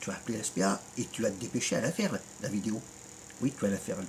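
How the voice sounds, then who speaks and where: A man talks at a fairly quick pace. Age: 50s. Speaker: YouTuber. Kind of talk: rant video reply. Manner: animated; halting.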